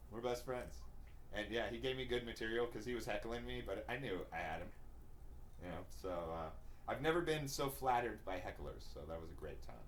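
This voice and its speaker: A man talks at a fairly quick pace broken by long, frequent pauses, with audible room echo around him. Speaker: comedian and podcast co-host. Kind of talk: casual chat. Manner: animated.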